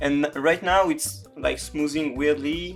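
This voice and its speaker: Music plays in the background as a voice with a French accent speaks at a very slow pace. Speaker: creative coding tutorial maker. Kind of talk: software tutorial narration. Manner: casual, hesitant with fillers.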